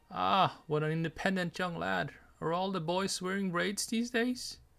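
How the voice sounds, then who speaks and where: In a put-on character voice, a man speaks shrill and high at a moderate pace, on a very clean recording with a silent background. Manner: condescending, amused.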